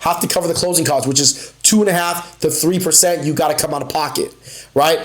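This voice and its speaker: A man with a high pitch and an animated tone, audible room echo and noticeable background noise. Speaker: mortgage loan officer. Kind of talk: live stream tutorial. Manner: fast; casual, animated.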